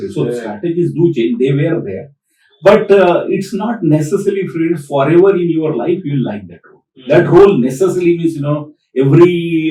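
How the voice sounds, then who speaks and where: A man with an Indian accent at a fairly quick pace, with lively intonation and big swings in loudness. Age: 60s. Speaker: PMP trainer, retired tech director. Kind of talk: podcast interview answer.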